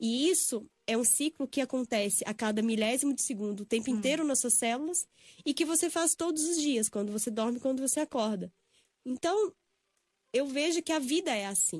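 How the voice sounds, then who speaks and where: A woman speaks at a high pitch with lively intonation. The recording is very clean with a silent background, dry and close with no echo. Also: moderate pace. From Brazil, Belo Horizonte (Minas Gerais). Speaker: yoga and spiritual healing instructor. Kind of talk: casual interview. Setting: radio studio.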